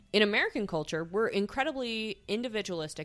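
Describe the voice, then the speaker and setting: A woman with an ordinary speaking voice talks at a medium pitch with lively intonation. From eastern Idaho. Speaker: polyamory discussion group founder. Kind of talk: casual chat.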